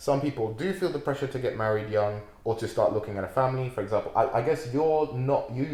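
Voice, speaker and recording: Talking at a very fast pace, a man with a dark, mellow tone and medium pitch sounds somewhat breathy, with ordinary pitch variation. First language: not English. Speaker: podcast co-host. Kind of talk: casual chat.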